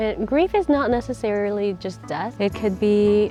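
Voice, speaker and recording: Quiet and moderately paced, a woman speaks at medium pitch with ordinary pitch variation while music plays in the background. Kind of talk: casual reflective talk to camera. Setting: outdoors.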